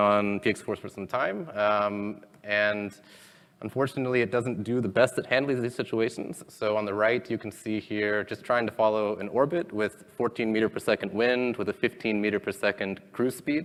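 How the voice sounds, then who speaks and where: A man speaks at a moderate pace in a normal speaking voice. His pitch is fairly low and his intonation fairly even. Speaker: conference speaker, robotics engineer. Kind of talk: technical conference talk. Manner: many filler ums.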